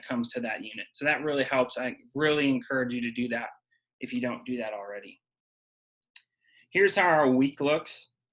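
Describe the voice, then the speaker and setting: A man puts on a raspy character voice at a medium pitch. He talks at a fairly quick pace but leaves long, frequent pauses. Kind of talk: presenting, teacher-like. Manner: talking fast.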